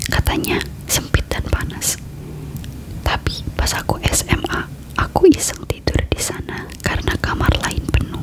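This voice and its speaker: A fairly unhurried whisper, with clearly audible noise in the background. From Indonesia. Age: 20s. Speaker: ASMR creator. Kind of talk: ASMR horror story reading. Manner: soft-spoken.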